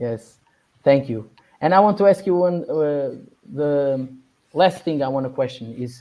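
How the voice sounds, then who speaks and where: Fairly slow speech with a non-native accent, long and frequent pauses, a dark, mellow tone and ordinary pitch variation. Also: man, fairly high pitch for a man. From Portugal. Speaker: podcast host. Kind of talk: interview. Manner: halting.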